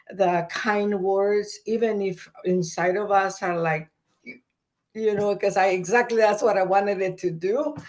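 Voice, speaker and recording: A woman speaks at a fairly slow pace with a Spanish accent. Her pitch sits in the middle, and her intonation stays fairly even. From El Salvador. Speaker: migrant rights activist. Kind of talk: conversational webinar discussion.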